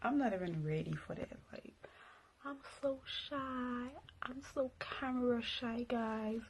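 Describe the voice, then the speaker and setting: Amid noticeable background noise, a woman with a high pitch and ordinary pitch variation speaks at a fairly slow pace with long, frequent pauses. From Montreal, Canada. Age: 20s. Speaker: makeup YouTuber. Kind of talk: casual vlog introduction.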